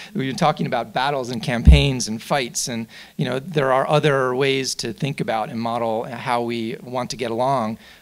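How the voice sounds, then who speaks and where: A man with an American accent talks at a moderate pace with ordinary pitch variation. The background is quiet. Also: hardly any pauses. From Atlantic City, New Jersey; New Jersey. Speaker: professor. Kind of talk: panel discussion. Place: hall. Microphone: podium.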